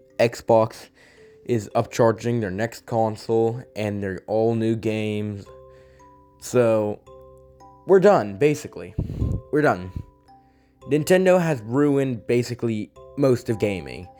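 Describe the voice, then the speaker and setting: Music plays behind a man who speaks very slowly at a medium pitch. His intonation is lively, and his pauses are long and frequent. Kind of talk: casual gaming commentary.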